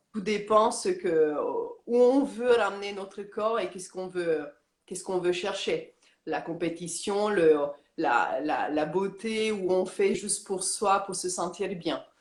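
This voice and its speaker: A woman talks at a medium pitch and a very slow pace with ordinary pitch variation. Her loudness swings widely, and the room echo is audible. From Romania. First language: Romanian (speaking French). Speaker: yoga teacher. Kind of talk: interview. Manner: halting, many hesitations.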